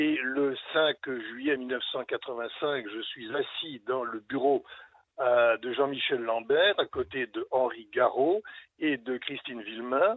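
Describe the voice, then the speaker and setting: Very slow speech comes from a man with a medium pitch and ordinary pitch variation. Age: 70s. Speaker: lawyer. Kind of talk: radio interview. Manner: hesitant, many filler sounds.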